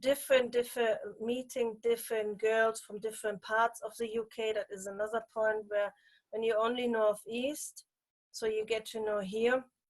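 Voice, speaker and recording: A woman speaks in a German accent at a fairly high pitch. Her intonation is monotone and flat. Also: moderate pace. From Germany. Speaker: pageant titleholder. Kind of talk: interview. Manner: halting.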